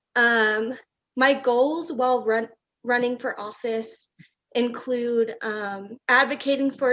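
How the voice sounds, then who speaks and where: A woman with a high pitch speaks in a fairly even intonation. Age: young. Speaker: city council candidate. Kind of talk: political forum statement. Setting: public forum.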